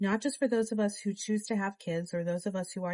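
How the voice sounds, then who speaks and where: A soft-spoken, somewhat breathy voice with a dark, mellow tone comes through with a dry, close sound and no echo. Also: woman. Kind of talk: audiobook reading.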